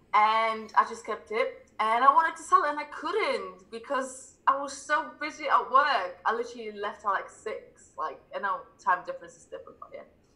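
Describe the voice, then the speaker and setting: The speaker goes at a moderate pace with hardly any pauses, loudness swinging widely, over noticeable background noise. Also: woman. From England. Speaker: crypto YouTuber and civil engineer. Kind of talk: casual livestream interview.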